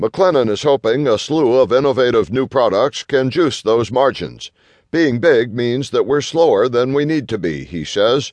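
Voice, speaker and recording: A man talks in a normal speaking voice at medium pitch and a moderate pace, with ordinary pitch variation, in a dry, close recording with no echo and a quiet background. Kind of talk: audiobook narration of a business magazine article. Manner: formal, even-paced, steady.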